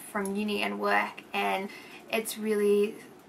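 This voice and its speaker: A woman talks with an Australian accent. Her pitch sits in the medium range. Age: 20s. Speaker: vlogger. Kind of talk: casual vlog. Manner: rambling, hesitant.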